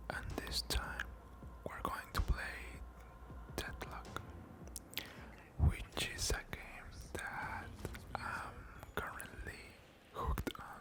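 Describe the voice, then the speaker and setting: Someone whispers at a very slow pace with long, frequent pauses. Noticeable background noise sits behind the voice. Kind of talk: casual talk to camera. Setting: gameplay commentary with keyboard and mouse sounds. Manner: whispered, soft-spoken.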